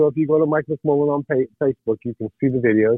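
A plain, everyday voice from a man, fairly high in pitch and at a fairly quick pace. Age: 60s. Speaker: podcast correspondent and artist. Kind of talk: casual chat. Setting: phone call.

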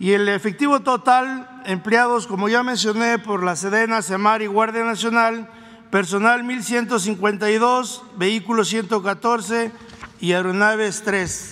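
A man's raised, projected, high-pitched voice at a very slow pace with fairly even intonation over noticeable background noise. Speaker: army general. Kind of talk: press briefing. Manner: formal.

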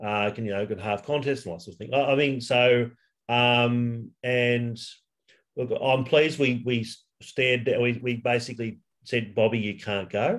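Ordinary pitch variation marks a man speaking with an Australian accent. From Western Sydney, Australia. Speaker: high school English teacher, football fan. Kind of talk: casual interview. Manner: halting, many fillers.

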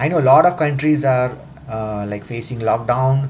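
The speaker talks at a moderate pace. Noticeable background noise runs underneath. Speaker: self-help podcaster. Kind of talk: motivational talk. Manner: halting, many fillers.

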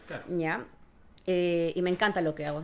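Her voice sits at a fairly low pitch for a woman. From Ecuador. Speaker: dentist. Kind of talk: casual interview, explanatory.

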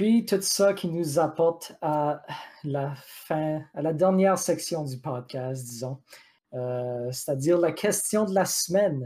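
A man's dark, mellow voice, fairly high in pitch with ordinary pitch variation, at a very slow pace. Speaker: video game podcast co-host. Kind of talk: casual chat. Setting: live stream.

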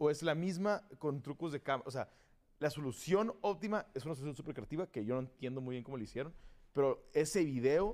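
In a normal speaking voice, a man delivers his words at a moderate pace. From Tijuana, Mexico. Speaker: guest, gamer. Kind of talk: casual chat.

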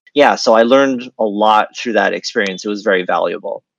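A man with an American accent and a plain, everyday voice, medium in pitch, fairly even in intonation, at a moderate pace, in a dry, close sound with no echo. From US, Washington D.C. area. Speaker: screenwriter. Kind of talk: casual interview.

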